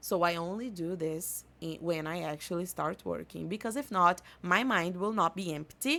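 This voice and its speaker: A woman with a Portuguese accent, fairly low in pitch, with ordinary pitch variation and hardly any pauses. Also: moderate pace, very clean recording, silent background. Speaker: podcast host and English teacher. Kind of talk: casual podcast monologue.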